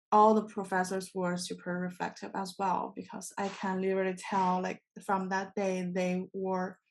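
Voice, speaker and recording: Against a quiet background, a woman with a non-native accent speaks at medium pitch and a moderate pace. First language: not English. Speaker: TESOL program alumnus. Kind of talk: panel discussion. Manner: halting, many self-corrections.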